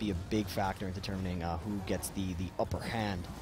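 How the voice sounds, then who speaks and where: A somewhat breathy man at a fairly quick pace, dry sound with no echo and noticeable background noise. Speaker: charity stream co-host. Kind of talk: casual live stream chat. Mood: earnest, grateful. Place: studio.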